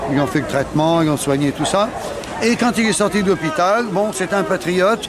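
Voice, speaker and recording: A man's high-pitched voice with ordinary pitch variation, audible room echo and crowd noise in the background. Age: 60s. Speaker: war veteran. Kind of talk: testimony. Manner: halting.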